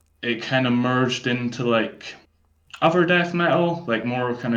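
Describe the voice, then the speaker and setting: Audible room echo surrounds a man speaking at a fairly slow pace with ordinary pitch variation. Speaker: death metal vocalist. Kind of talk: podcast interview. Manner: hesitant, many fillers.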